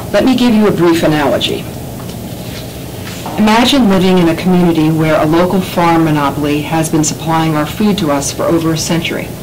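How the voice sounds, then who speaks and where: A woman with a fairly low pitch talks at a fairly quick pace, her loudness very even and her pitch varying in an ordinary way, with audible room echo and noticeable background noise. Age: 60s. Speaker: resident speaking at public health hearing. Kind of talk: public testimony. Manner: formal, prepared statement.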